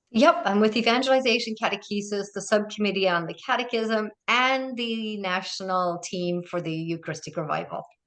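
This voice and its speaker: Speaking at a moderate pace with hardly any pauses, a woman with an Irish accent uses a medium pitch and ordinary pitch variation. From Ireland, small mountain town. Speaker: diocesan ministry director and author. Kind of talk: casual interview chat.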